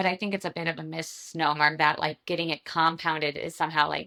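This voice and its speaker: A woman speaks at a fairly quick pace in a very deep, low pitch, her bright, sharp tone carrying vocal fry and a monotone, flat intonation. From Michigan, US. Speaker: internal medicine physician. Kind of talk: casual interview chat.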